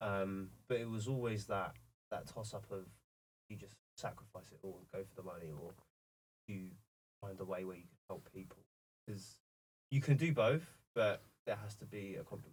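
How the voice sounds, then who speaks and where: A man with a South London accent speaks at a moderate pace and fairly low pitch, with ordinary pitch variation. His voice is somewhat breathy, with long, frequent pauses and big swings in loudness. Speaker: video production company founder. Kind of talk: casual interview chat. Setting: in person, filmed in Portsmouth.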